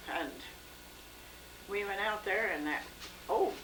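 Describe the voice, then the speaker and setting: Noticeable background noise sits behind a woman with an American accent, who speaks fairly slowly at a medium pitch. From rural Missouri. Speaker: retired farm woman. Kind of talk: interview answer.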